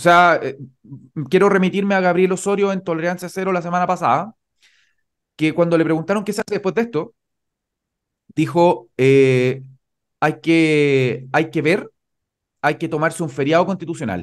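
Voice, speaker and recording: With a Chilean accent, a man talks at a moderate pace in a high pitch, leaving long, frequent pauses. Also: ordinary pitch variation, quiet background. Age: 30s. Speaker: lawyer and party spokesperson; lawyer, party spokesperson. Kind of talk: political interview. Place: home room. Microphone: studio mic.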